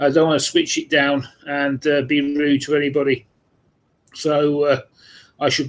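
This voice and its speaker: Fairly high pitch from a man with a British accent, at a moderate pace. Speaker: vinyl collector vlogger. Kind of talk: live stream monologue. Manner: hesitant, many fillers.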